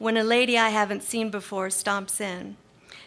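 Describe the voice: With fairly even intonation, the clip is plain reading aloud.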